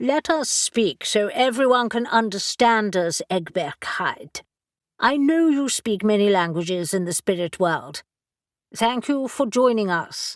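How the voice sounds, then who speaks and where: A woman uses a put-on character voice at a fairly high pitch. She goes at a fairly slow pace on a very clean recording with a silent background. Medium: read story. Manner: confident.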